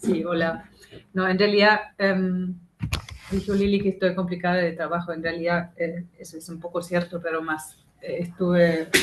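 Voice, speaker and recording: Speaking in a German accent at a moderate pace, a woman keeps a flat, monotone intonation while her loudness swings widely over noticeable background noise. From Germany. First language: German (speaking Spanish). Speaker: activist, member of collective. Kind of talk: talk to a class. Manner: halting.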